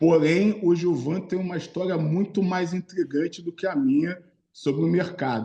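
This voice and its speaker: This man has a high pitch with ordinary variation and a dark, mellow tone, speaking at a moderate pace. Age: 40s. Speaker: videocast host, financial market professional. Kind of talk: podcast interview.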